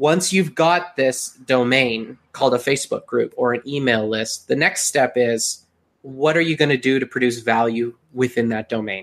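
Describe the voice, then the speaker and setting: A man of medium pitch speaks at a moderate pace with a Western Canadian accent, ordinary pitch variation and hardly any pauses. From Canada (Calgary, Alberta). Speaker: digital marketing agency owner. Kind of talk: interview.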